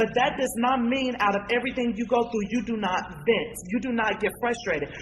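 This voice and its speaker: Fairly quick, animated speech with ordinary pitch variation and noticeable background noise. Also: woman, fairly high pitch for a woman. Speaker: community activist. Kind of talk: panel discussion.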